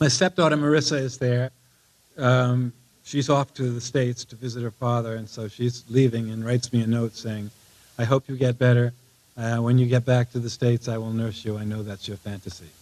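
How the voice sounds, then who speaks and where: A man's medium-pitched voice at a fairly quick pace, fairly even in intonation, with big swings in loudness and a dry, close sound free of echo. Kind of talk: live monologue reading, autobiographical storytelling. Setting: live audience, theatre reading. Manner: conversational, hesitant with frequent fillers.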